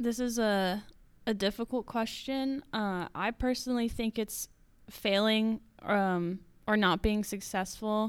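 In a very clean recording with a silent background, a woman with a normal speaking voice talks fairly slowly, her pitch fairly high and her intonation fairly even. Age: 20s. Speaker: college student and marketing director. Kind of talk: interview answers.

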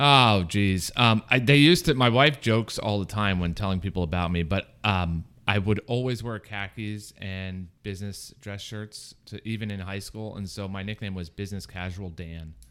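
A man with an American accent and an ordinary speaking voice, fairly low in pitch with ordinary pitch variation, at a moderate pace with hardly any pauses and big swings in loudness, in a very clean recording with a silent background. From Florida, Fort Myers. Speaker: small business program director. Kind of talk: interview.

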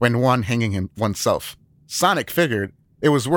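Someone is reading aloud in a natural voice. Nothing else stands out.

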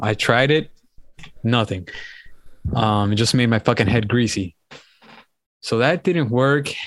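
Fairly slow speech in a Miami accent, with very even loudness and long, frequent pauses. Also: man, medium pitch for a man, ordinary pitch variation. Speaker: podcast co-host. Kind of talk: casual chat.

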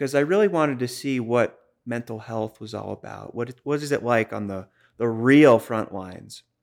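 Very clean and free of background sound, this recording features a man with a Boston accent. He talks at a moderate pace and medium pitch, with ordinary pitch variation. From Boston, US. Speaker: crisis line specialist. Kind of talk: podcast interview. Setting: in person studio.

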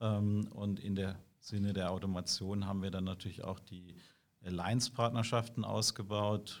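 On a very clean recording with a silent background, a man speaks slowly in a fairly low, monotone, flat voice. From southwestern Germany, Karlsruhe. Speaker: IT security sales executive. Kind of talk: interview. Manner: hesitant with many fillers.

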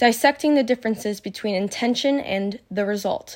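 Her pitch moves in an ordinary way. The woman talks at a moderate pace. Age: 20s. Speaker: personal growth podcaster. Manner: halting with self-corrections.

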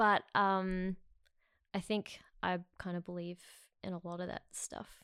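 A woman's medium-pitched voice in an Australian accent, on a very clean recording with a silent background. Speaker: podcast guest, film crew worker. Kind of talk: casual chat.

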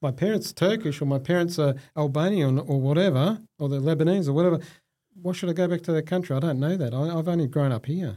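In an Australian accent, a man with a fairly high pitch and a dark, mellow tone speaks very fast with ordinary pitch variation and very even loudness, in a very clean recording with a silent background. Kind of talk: interview.

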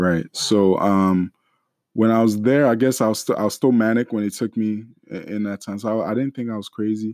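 In a very clean recording with a silent background and a dry, close sound with no echo, a man with an unremarkable speaking voice talks at a fairly quick pace, with fairly low pitch and fairly even intonation. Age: young. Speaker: church deacon sharing mental health story. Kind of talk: testimony.

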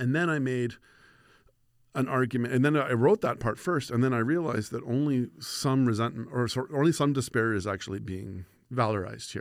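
With a Canadian accent and a normal speaking voice, a man talks at a fairly quick pace and medium pitch with ordinary pitch variation, on a very clean recording with a silent background. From Saskatchewan, Canada (Moose Jaw). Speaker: political science professor. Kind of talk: interview.

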